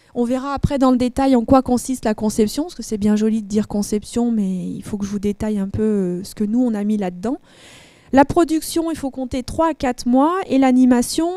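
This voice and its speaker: The speech runs at a fairly quick pace with ordinary pitch variation. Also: woman. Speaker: instructional designer. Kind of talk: conference presentation. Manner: fast.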